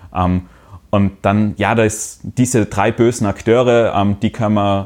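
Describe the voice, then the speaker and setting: Here is a man with a plain, everyday voice. His pitch is fairly low and his intonation fairly even. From Austria. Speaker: social media analyst. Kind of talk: casual chat.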